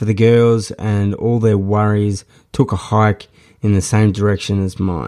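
Over a silent background in a very clean recording, a man with a strong Australian accent speaks at a fairly slow pace, his fairly low voice dark and mellow. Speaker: podcast host and memoir author. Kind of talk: reading aloud from own memoir, with casual chat intro. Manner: casual, with fillers and hesitations.

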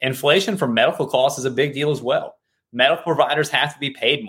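Ordinary pitch variation and a moderate pace from a man of medium pitch with an unremarkable speaking voice. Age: 30s. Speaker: insurance broker. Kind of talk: casual interview.

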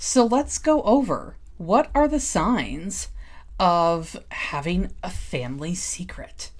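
A woman's very slow speech with vocal fry and very wide pitch swings, in audible room echo. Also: medium pitch for a woman. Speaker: podcast host and codependency coach. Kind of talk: solo podcast monologue. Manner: hesitant, with filler words.

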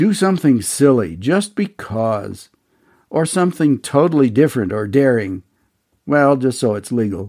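On a very clean recording with a silent background, a man speaks at medium pitch and a moderate pace in a dark, mellow, warm tone with very wide pitch swings. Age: 80s+. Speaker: podcast host, leadership coach. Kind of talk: scripted monologue. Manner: warm, folksy.

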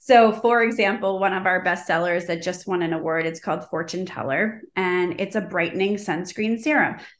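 A woman speaks with a normal speaking voice at a medium pitch. Her pace is moderate and her pitch varies in an ordinary way. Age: 40s. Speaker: skincare brand founder. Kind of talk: interview. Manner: frequent filler 'um'.

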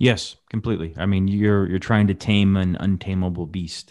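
Against a quiet background, a man with a very deep, low pitch speaks with fairly even intonation. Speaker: podcast host, financial advisor.

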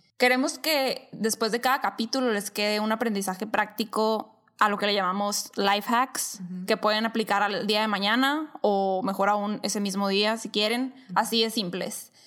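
With an unremarkable speaking voice, a woman talks at a moderate pace with hardly any pauses, a fairly high pitch and fairly even intonation. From Sonora, Mexico. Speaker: podcast co-host. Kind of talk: casual chat.

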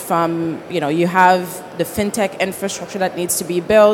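A woman's fairly low voice, fairly even in intonation, at a moderate pace over noticeable background noise. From Haiti. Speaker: fintech founder and CEO. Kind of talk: conference panel discussion. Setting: conference stage with audience.

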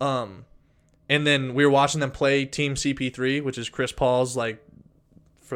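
A normal speaking voice from a man at medium pitch, fairly even intonation and moderate pace, on a very clean recording with a silent background. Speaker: podcast co-host. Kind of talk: casual chat.

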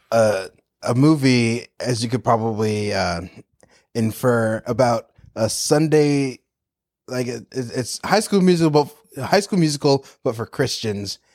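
With an American accent, a man talks in an unremarkable speaking voice with lively intonation, the sound dry and close with no echo. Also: medium pitch for a man. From North Carolina. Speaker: improv comedian and actor. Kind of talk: casual chat.

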